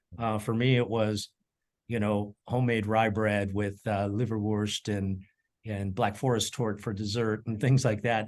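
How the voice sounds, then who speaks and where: A man speaks at a fairly low pitch with an American accent, his intonation flat and monotone. He talks at a fairly slow pace against a quiet background. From Colorado, US. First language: German. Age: 60s. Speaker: chef and culinary educator. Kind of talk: interview. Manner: halting, many fillers and repeats.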